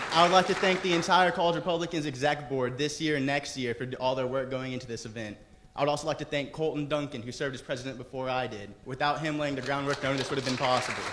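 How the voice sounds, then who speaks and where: Racing along at a very fast pace with hardly any pauses, a man speaks at a fairly high pitch with ordinary pitch variation amid audible room echo. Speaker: student club president. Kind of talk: event introduction speech. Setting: theater with audience.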